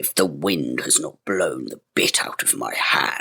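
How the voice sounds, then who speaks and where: Growling in a put-on character voice, a man speaks at a fairly slow pace. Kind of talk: archaic fairy-tale speech. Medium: read story. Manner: gruff, bossy.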